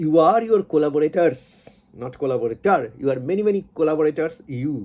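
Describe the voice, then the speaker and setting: With a Bengali accent, a man speaks in a dark, mellow tone with very wide pitch swings. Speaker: YouTuber, science commentator. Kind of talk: monologue commentary. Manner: halting, many fillers and repetitions.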